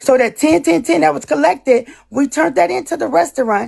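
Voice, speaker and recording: A woman speaks with a high pitch. Her voice swings very widely up and down. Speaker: live stream panelist. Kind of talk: heated live stream argument. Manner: fast.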